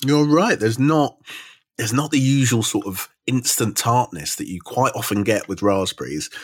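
At a moderate pace, a normal speaking voice carries lively intonation. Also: man, medium pitch for a man. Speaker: podcast host. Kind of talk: casual interview chat.

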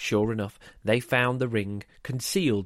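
The clip features a natural reading voice.

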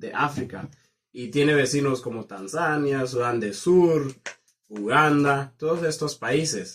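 A fairly high-pitched man at a fairly slow pace, with ordinary pitch variation. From southern Kenya. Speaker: university student. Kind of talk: casual interview. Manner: halting.

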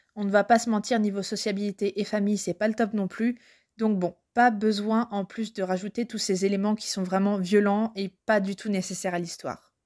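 A woman's flat, monotone delivery at a moderate pace, on a very clean recording with a silent background. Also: medium pitch for a woman. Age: 20s. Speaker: book and culture blogger. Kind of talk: recorded review monologue.

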